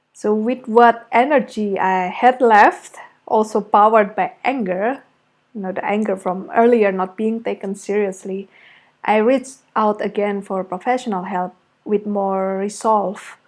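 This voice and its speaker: A woman speaks at a fairly slow pace with an Indonesian accent. Her intonation is fairly even, and the background is quiet. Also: fairly high pitch for a woman. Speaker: creative arts therapist. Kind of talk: personal testimony. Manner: reflective, with hesitations.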